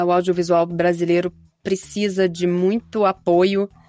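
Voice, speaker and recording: A woman's medium-pitched, ordinary speaking voice at a fairly slow pace. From Rio de Janeiro, Brazil. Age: 30s. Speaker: voice actress. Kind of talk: interview.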